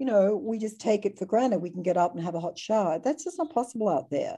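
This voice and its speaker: Against a quiet background, a woman with an Australian accent speaks in a dark, mellow tone at a fairly quick pace. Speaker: conservation ambassador and author. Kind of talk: casual chat. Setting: video call.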